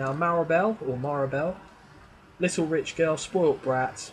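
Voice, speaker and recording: A man's voice with an English accent and ordinary pitch variation. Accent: English accent, others mock it. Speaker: gaming YouTuber. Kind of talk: gameplay commentary. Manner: casual, thinking aloud.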